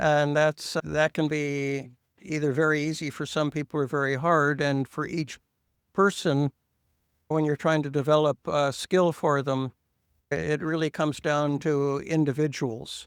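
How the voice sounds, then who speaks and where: A man speaks in a fairly high, monotone voice with flat intonation at a fairly slow pace, in a dry, close sound with no echo on a very clean recording with a silent background. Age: 70s. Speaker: pool instructor. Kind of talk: interview. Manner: halting.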